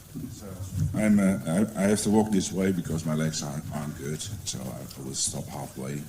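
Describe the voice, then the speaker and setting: A man's very deep, low voice at a moderate pace, with lively intonation, big swings in loudness and audible room echo. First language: Dutch. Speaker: educational support advisor. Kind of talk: conference presentation. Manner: hesitant, many fillers.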